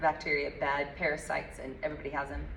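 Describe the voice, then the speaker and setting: A woman with a very deep, low pitch speaks amid audible room echo. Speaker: health coach. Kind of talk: group workshop. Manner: fast; animated.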